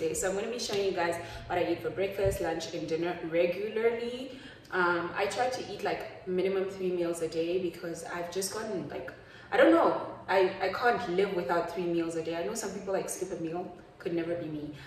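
Room echo is audible as a woman talks at a fairly quick pace. There is light background noise. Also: ordinary pitch variation. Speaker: lifestyle vlogger. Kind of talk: casual vlog chat. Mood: relaxed, chatty. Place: kitchen. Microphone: phone near.

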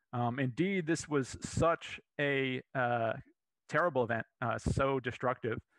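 A man's voice at a fairly slow pace, with ordinary pitch variation and very even loudness, in a dry sound with no echo against a quiet background. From Florida. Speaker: paleontologist, museum curator. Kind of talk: lecture. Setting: live virtual presentation. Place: home room. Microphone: headset.

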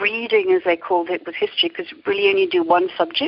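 A woman speaks at a fast pace with a slightly husky edge. Her pitch swings widely up and down.

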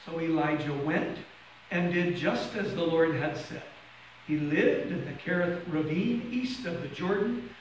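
The speech moves at a moderate pace, with light background noise and audible room echo. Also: man. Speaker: minister. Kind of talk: scripture reading. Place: church.

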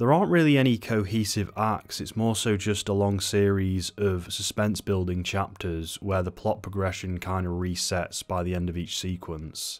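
A man with a southern English accent speaks at a moderate pace with hardly any pauses, using fairly even intonation in a very deep, low pitch. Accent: British, southern English. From England. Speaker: book and film reviewer. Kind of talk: casual review talk to camera. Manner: witty, casual, swears a lot. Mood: sardonic, animated, swears a lot. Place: home room. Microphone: studio mic.

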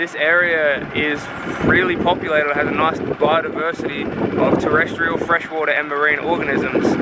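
A man speaks at a moderate pace. The sound is dry with no echo, but loud background noise comes through. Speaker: vlogger. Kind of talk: casual vlog chat with facts. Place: boat. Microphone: phone near.

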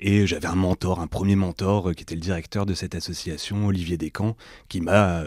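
The recording is very clean and the background silent. A man talks with a very deep, low pitch, a moderate pace and fairly even intonation. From northern France, Lille. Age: 30s. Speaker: entrepreneur and workshop leader. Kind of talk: casual interview.

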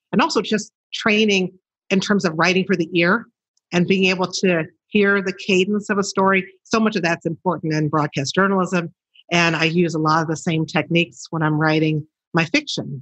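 This speaker has a Chicago accent and keeps the loudness very even throughout. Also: woman, fairly low pitch for a woman, ordinary pitch variation, moderate pace. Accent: Chicago American. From Chicago, South Side. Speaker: novelist, former TV journalist. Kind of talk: interview. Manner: conversational, uses fillers.

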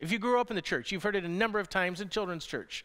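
Projecting in a raised voice with a bright, sharp tone, a man talks at a very fast pace over a quiet background. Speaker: pastor. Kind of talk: sermon. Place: church. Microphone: headset.

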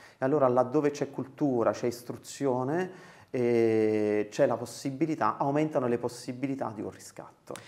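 Delivered at a fairly slow pace, a man's speech sits at medium pitch with ordinary pitch variation. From Campania, Casal di Principe area. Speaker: charity regional director. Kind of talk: interview. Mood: calm, thoughtful. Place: office. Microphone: lapel.

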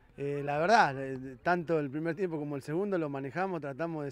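A man talks with a Rioplatense accent at a fairly high pitch. The sound is dry, with no echo. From Argentina, Buenos Aires province. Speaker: women's football coach. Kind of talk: post-match interview. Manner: halting, many fillers and repetitions. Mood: pleased after a win. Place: stadium. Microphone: handheld.

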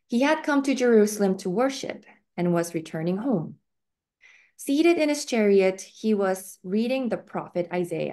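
Medium pitch from a woman, the tone dark and mellow. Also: lively intonation, fairly slow pace.

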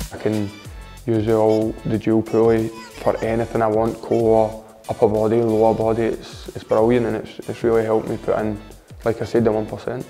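Faint music plays in the background as a man talks at a moderate pace. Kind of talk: interview answer. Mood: positive, relaxed. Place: gym. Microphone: lapel.

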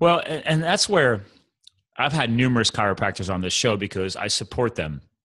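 A man speaks at a fairly quick pace with very wide pitch swings. The background is quiet. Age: 40s. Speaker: podcast host. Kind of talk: casual interview chat. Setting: call. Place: home room. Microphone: studio mic.

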